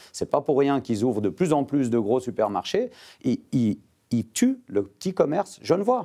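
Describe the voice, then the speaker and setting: Over a quiet background, a man with a dark, mellow tone talks at a moderate pace with very wide pitch swings. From Geneva. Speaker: politician and winegrower. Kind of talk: TV panel debate. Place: studio. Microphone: lapel.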